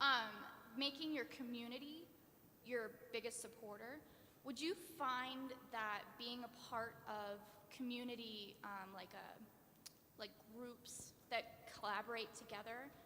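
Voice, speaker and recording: A woman's fairly high voice at a fairly slow pace, with long, frequent pauses and ordinary pitch variation. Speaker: audience member asking a question. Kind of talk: audience question. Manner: loud.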